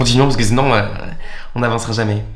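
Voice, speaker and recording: Audible room echo and noticeable background noise surround a man speaking at a medium pitch with ordinary pitch variation. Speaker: YouTuber. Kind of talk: confessional vlog. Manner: halting, with many repeated words.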